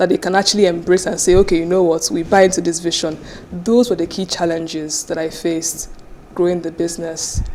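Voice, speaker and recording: Fairly quick, fairly even speech in a Nigerian accent over noticeable background noise. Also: woman, fairly low pitch for a woman. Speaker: business founder and CEO. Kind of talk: interview.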